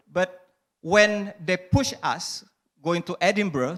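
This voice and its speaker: In an Indonesian accent, a man speaks with a high-pitched voice. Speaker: stand-up comedian. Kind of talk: panel discussion. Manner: halting.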